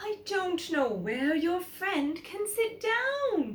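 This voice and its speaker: Using a put-on character voice, a woman talks very slowly at an extremely high pitch with very wide pitch swings. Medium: read story. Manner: exclamatory, gasping.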